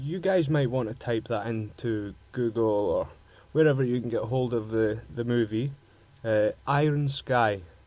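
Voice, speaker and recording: Here a man talks with a strong Scottish accent at a medium pitch. His pace is fairly slow, with ordinary pitch variation. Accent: broad Scottish. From Scotland. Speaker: radio host. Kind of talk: casual chat. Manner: halting.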